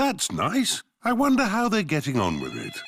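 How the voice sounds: A cartoonish character voice from a man, pitched high. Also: moderate pace.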